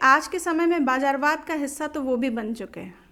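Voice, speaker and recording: The woman's pitch is high, with ordinary pitch variation. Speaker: Bhojpuri folk singer. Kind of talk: interview answer.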